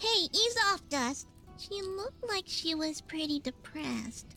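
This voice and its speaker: Over clear music in the background, a put-on character voice speaks high-pitched at a fairly slow pace. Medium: video game. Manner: quippy, friendly.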